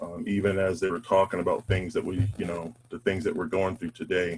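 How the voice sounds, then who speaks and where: A man speaks with an American accent. His pitch is fairly low and his pace fairly quick. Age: 50s. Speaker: panel speaker on race. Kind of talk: personal testimony. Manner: halting, many fillers.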